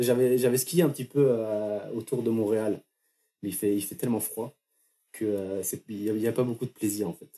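A man talks at a moderate pace with ordinary pitch variation. His medium-pitched voice has a dark, mellow tone. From France, Brittany (near Fougères). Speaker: working holiday traveller. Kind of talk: interview testimony.

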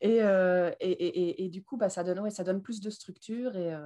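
A woman speaks at medium pitch with fairly even intonation and a dark, mellow tone. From Belgium. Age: 20s. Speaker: leather goods entrepreneur. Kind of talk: interview. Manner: talkative.

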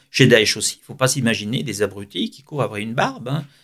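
A man with a medium-pitched voice talks at a very fast pace, his intonation lively. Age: 60s. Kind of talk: radio interview.

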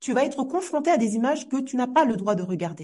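The voice has a dark, mellow tone. It moves along fairly quickly. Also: woman. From Comoros. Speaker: teacher and trainer. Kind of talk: podcast interview.

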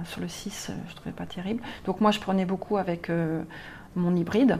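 Speaking at a moderate pace, a woman with a fairly low pitch and vocal fry keeps her intonation fairly even. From Normandy, France. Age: 40s. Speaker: blogger and graphic designer. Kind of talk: interview. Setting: bar.

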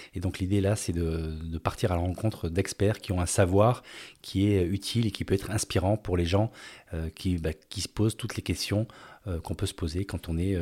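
On a very clean recording with a silent background, a man with a very deep, low pitch and a dark, mellow tone speaks at a moderate pace, somewhat breathy, with fairly even intonation. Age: 50s. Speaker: podcast host, former business executive. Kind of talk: personal storytelling monologue. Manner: hesitant, with fillers.

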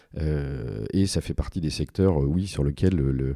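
A man's very deep, low voice, dark and mellow in tone, with ordinary pitch variation and a moderate pace. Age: 40s. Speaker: statutory auditor. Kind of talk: interview. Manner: halting, many repetitions and fillers.

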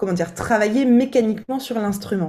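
Fairly quick and medium in pitch, a woman talks in a plain, everyday voice. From eastern France. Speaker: vocal coach. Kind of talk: casual chat.

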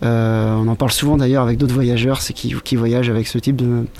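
A man at a moderate pace, with fairly even intonation and very even loudness, over noticeable background noise. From Brittany, France. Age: 30s. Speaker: visual artist and long-distance cyclist. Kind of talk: interview.

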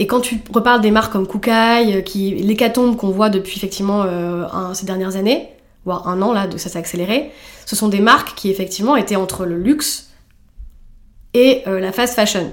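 With a plain, everyday voice, a woman talks at a moderate pace and medium pitch, using ordinary pitch variation. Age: 30s. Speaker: fashion brand founder. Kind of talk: interview.

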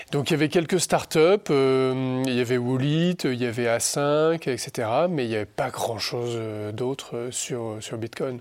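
A man's plain, everyday voice at medium pitch, fairly slow in pace, with ordinary pitch variation. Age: 40s. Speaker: senior civil servant and Bitcoin advocate. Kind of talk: interview.

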